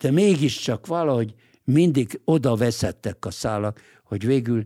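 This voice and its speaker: On a very clean recording with a silent background and a dry, close sound with no echo, a man with a dark, mellow tone and medium pitch talks at a moderate pace with lively intonation. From Hungary. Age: 80s+. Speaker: lawyer and political writer. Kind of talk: interview. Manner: halting, frequent filler hesitations.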